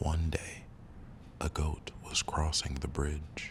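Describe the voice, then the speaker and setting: The voice is soft-spoken, at a fairly slow pace. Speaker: storyteller. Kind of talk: reading aloud. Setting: studio.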